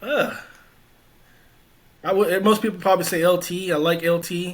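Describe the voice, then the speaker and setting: A man with a Louisiana accent speaks at a moderate pace, his high pitch held in fairly even intonation. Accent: Southern US (Louisiana). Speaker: former college football player. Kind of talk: interview. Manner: casual, conversational.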